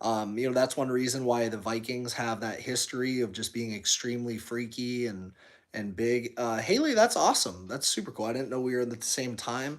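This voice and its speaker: A man with an American accent speaks at a medium pitch. His pace is fairly quick, with hardly any pauses. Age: 30s. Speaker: fitness streamer and gym owner. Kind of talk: live stream chat reading. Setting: live stream. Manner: fast; animated.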